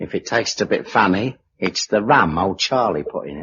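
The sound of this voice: A man's put-on character voice, low-pitched and husky with a rough edge, fairly bright in tone, with lively intonation at a moderate pace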